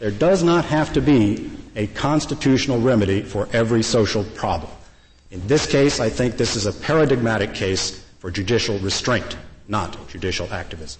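Through noticeable background noise, a man talks at a moderate pace and medium pitch. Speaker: lawyer arguing before the court. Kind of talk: oral argument. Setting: courtroom.

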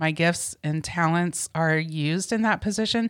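Recorded very cleanly against a silent background, a woman with an American accent and a very deep, low pitch speaks at a moderate pace. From US Midwest, Indiana (near Indianapolis). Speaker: church member sharing life story. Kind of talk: casual interview, personal testimony.

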